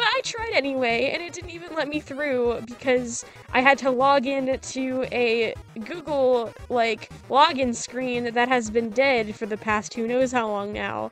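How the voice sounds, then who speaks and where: Music plays in the background as a woman speaks. Her pitch is high and her pace fairly slow. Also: ordinary pitch variation. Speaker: digital artist. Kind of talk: casual speedpaint voiceover commentary. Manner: rambling, casual.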